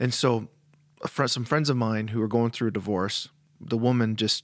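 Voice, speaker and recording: Heard on a very clean recording against a silent background, an ordinary speaking voice talks at a fairly quick pace. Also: man. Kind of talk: casual chat.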